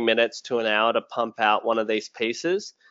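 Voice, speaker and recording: A man speaks in an Australian accent with ordinary pitch variation. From rural Australia. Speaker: sales and tech professional, LinkedIn content creator. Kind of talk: webinar interview.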